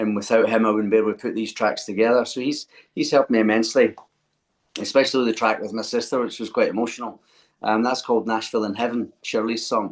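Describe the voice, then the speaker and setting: Talking at a very fast pace, a man with a Scottish accent keeps a monotone, flat intonation. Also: medium pitch for a man. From Scotland, Glasgow. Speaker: singer-songwriter. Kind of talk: interview.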